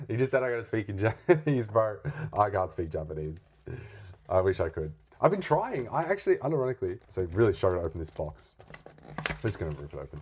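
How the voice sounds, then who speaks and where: This speaker has an Australian accent. The pace is fairly quick. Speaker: card opening youtuber. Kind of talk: casual unboxing chat. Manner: animated; halting.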